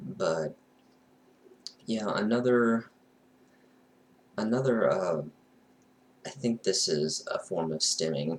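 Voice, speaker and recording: A man at medium pitch talks very slowly, his pitch swinging very widely between long, frequent pauses. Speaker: person with Asperger's, TV station worker. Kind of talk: casual talk to camera. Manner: stuttering, hesitant; frequent filler 'you know'.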